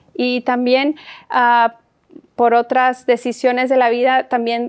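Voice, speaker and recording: The background is quiet as a woman talks at a fairly slow pace. Her pitch is high. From Mexico, Guerrero. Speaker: nurse and nursing teacher. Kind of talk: testimony interview. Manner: halting. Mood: calm, reflective storytelling. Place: studio. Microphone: lapel.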